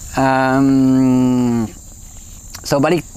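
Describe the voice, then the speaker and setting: A man's medium-pitched voice comes through with a dry sound and no echo. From France. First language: French (speaking Indonesian). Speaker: conservationist and YouTuber; vlogger. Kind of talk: personal vlog monologue. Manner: casual, hesitant with fillers. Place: forest. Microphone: phone near.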